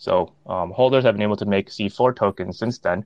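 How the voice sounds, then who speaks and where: A man talks at a moderate pace in an unremarkable speaking voice. His fairly low pitch shows ordinary variation. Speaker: crypto NFT project team member. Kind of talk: casual chat.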